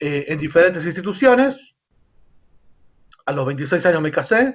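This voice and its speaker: A man with a Rioplatense accent speaks with lively intonation on a very clean recording against a silent background. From Argentina, Buenos Aires. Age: 40s. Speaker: rabbi. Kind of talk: interview. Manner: hesitant, many fillers.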